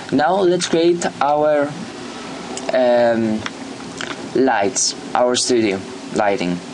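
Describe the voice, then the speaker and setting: A man with a non-native accent at a medium pitch, very slow pace and lively intonation, long, frequent pauses and noticeable background noise. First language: not English. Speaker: YouTuber making software tutorials. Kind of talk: screen-recorded software tutorial. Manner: halting, many fillers.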